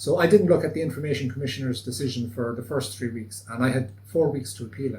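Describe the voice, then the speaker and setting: A man talks very fast, with hardly any pauses. His pitch is medium and varies in an ordinary way. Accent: west of Ireland. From Achill Island, Ireland. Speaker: citizen lawyer. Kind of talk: interview answer.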